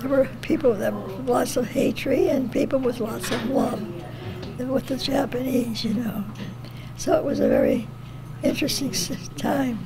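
An American accent at a moderate pace, broken by long, frequent pauses, with loud background noise. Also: woman. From United States, Toledo. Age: 80s+. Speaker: war veteran, former military physical therapist. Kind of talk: interview answer, recalling memories. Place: home room. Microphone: handheld.

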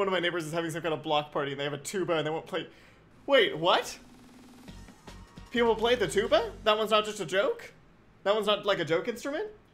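Very fast speech with faint music in the background. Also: man. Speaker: game streamer. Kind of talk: casual gameplay commentary. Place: home room.

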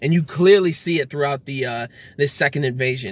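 The voice has fairly even intonation and a dry sound with no echo. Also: man. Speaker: anime reviewer. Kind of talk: casual vlog chat. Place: car. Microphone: phone near.

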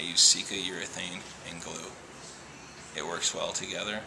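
Soft-spoken and at a moderate pace, a man talks over noticeable background noise. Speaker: auto glass installer. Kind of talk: casual demonstration talk to camera. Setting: auto shop. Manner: quiet, soft-spoken. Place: garage. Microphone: phone near.

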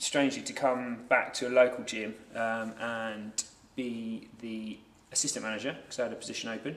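A man speaks with audible room echo around him. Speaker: guest. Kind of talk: interview answer. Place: gym.

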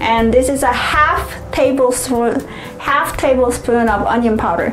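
Clear music plays in the background. A woman with a high pitch speaks at a very slow pace. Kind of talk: cooking tutorial. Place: kitchen.

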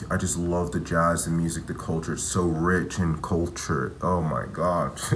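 Light background noise sits under the speech. The pace is fairly slow. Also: man. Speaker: travel vlogger. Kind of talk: casual vlog chat. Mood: reflective, a bit bittersweet. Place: home room. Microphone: phone near.

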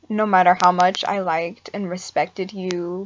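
A woman talks fairly slowly over light background noise. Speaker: mental health vlogger. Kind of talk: casual vlog chat. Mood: serious, reflective, subdued. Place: home room. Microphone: webcam.

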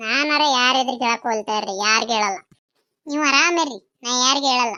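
A woman does a cartoonish character voice with a high pitch and ordinary pitch variation. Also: moderate pace. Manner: chatty, gossipy.

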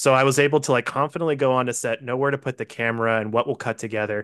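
A man at a very fast pace against a quiet background. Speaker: film director. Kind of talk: interview. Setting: video call. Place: home room. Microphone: studio mic.

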